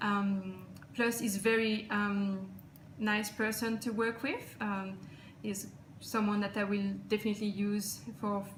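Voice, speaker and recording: A woman with a non-native accent speaks at a fairly slow pace in a medium pitch, her intonation monotone and flat, with audible room echo and noticeable background noise. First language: not English. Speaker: client giving a testimonial. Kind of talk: testimonial. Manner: halting.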